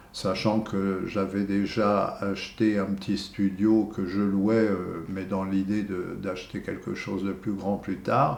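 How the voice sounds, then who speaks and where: The speaker goes at a very slow pace with hardly any pauses, in a monotone, flat intonation, and audible room echo surrounds the voice. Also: man, fairly low pitch for a man. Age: 70s. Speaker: retired museum security guard. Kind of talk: testimony. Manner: halting, many hesitations.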